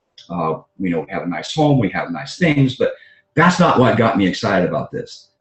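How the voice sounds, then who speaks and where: Fairly quick and full of vocal fry, a man's medium-pitched voice moves through very wide pitch swings. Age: 60s. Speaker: doctor and network marketing entrepreneur. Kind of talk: conference call talk. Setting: conference call. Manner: halting, many fillers.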